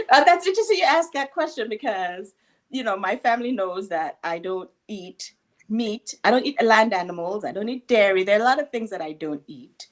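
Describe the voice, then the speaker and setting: A woman with a slight Jamaican accent talks at a fairly quick pace and a fairly high pitch. Her pitch swings very widely, and her loudness rises and falls a lot. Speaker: guest on talk show. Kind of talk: interview.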